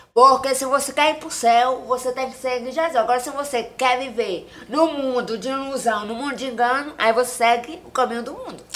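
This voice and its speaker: A woman speaks at a fairly quick pace with hardly any pauses, a high pitch and fairly even intonation. Her loudness swings widely, and there is noticeable background noise. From Maranhão, Brazil (Tuntum). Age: 30s. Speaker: social media personality. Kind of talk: casual interview chat; religious exhortation.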